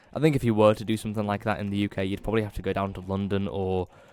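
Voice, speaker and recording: Here a man talks with a northern English accent. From northern England. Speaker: gaming YouTuber. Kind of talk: casual gameplay commentary. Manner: halting, many fillers.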